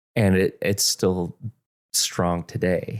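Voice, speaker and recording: Dry and close with no echo, the recording captures a man with a very deep, low pitch. He speaks at a very slow pace with fairly even intonation. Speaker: pastor. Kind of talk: podcast co-host conversation.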